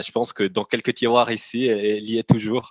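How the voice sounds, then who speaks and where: A man's fairly low-pitched voice. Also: dry, close sound with no echo. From Italian-speaking Switzerland. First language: Italian (speaking French). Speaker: company CEO. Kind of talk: interview. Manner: halting, frequent repetitions.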